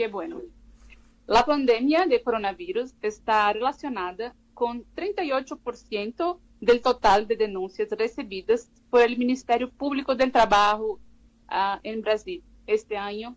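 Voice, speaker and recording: A woman with a Brazilian accent speaks at a fairly slow pace in a fairly high pitch, her intonation lively. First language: Portuguese (speaking Spanish). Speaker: labor law researcher. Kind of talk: radio interview. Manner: halting, with many fillers.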